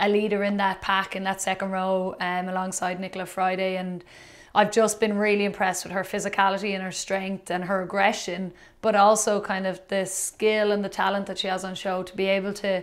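Delivery is fairly quick with monotone, flat intonation. The background stays quiet. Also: woman. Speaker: podcast co-host. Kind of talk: interview answer. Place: studio.

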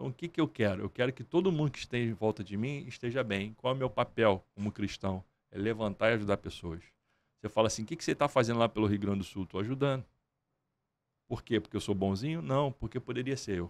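With lively intonation and a medium pitch, a man speaks at a very fast pace. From Brazil, Nova Iguaçu (Baixada Fluminense, Rio de Janeiro); Rio de Janeiro, Brazil. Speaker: entrepreneur and music promoter; podcast guest. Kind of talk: interview. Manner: animated. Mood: earnest, faith-driven. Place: studio. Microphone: studio mic.

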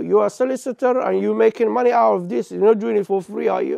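Against a quiet background, a man talks at a very fast pace, the sound dry with no echo. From Somalia. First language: Somali. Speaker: TV interviewer. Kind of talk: interview. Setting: studio. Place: studio. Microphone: lapel.

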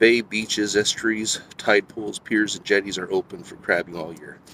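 In an ordinary speaking voice with a fairly low pitch, a man talks at a moderate pace, the sound dry with no echo and light background noise. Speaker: outdoor vlogger. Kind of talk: casual vlog chat. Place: waterside. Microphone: phone near.

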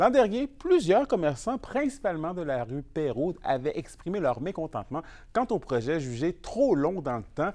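Against a quiet background, a man in a Quebec accent speaks at a moderate pace with a high pitch and very wide pitch swings. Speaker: news anchor. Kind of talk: formal newsreading. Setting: studio. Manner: formal.

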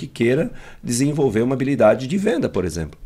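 A man at a very fast pace, medium in pitch, with lively intonation. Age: 50s. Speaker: emotional intelligence trainer and speaker; emotional intelligence trainer, speaker. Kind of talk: interview. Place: studio. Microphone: studio mic.

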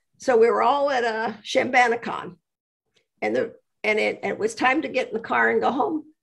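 Against a quiet background, the speaker talks at a moderate pace with vocal fry. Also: woman. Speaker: interview guest. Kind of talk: interview answer, storytelling. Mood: warm, amused. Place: home room. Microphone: video call.

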